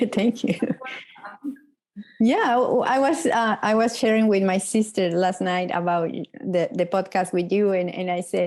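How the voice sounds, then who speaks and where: A woman with a Mexican accent speaks at a fairly slow pace with long, frequent pauses. Her medium pitch shows ordinary variation, and her loudness stays very even. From Mexico. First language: Spanish. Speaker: podcast host. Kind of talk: interview.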